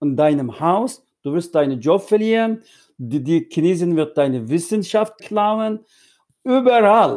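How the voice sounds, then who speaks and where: A man speaks at a fairly slow pace in a high voice with a dark, mellow tone and very wide pitch swings. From East Turkestan (Xinjiang), Hotan. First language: Uyghur (speaking German). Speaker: Uyghur diaspora activist. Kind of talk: interview. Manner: halting, mixes in English words.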